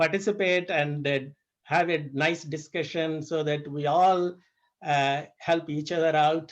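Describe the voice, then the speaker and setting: Fairly slow and fairly high-pitched, a man talks in a plain, everyday voice. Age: 60s. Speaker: fasting practitioner sharing experience. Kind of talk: group discussion.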